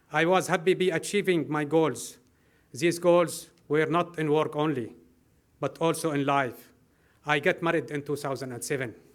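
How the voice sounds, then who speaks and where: On a very clean recording with a silent background, a man with an Arabic accent speaks at a moderate pace in a fairly high voice with fairly even intonation. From Syria (Homs). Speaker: refugee civil engineer. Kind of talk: prepared speech.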